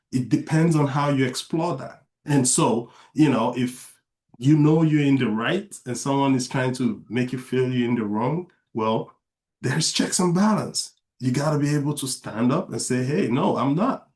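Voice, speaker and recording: A man with a non-native accent and a medium-pitched voice. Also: ordinary pitch variation, moderate pace. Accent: moderate foreign. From outside the US, immigrant. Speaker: author and father. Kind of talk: interview conversation.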